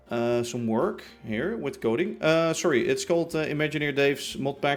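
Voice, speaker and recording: A man talks at a moderate pace. His pitch is fairly high, and his intonation is lively. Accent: Dutch. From Netherlands. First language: Dutch. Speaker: livestreamer, Minecraft gamer. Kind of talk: casual live-stream chat.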